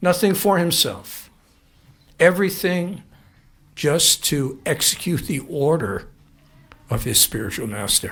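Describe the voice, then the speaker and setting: Audible echo from the room follows the man as he speaks fairly slowly. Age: 70s. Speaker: spiritual teacher. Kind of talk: lecture. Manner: halting.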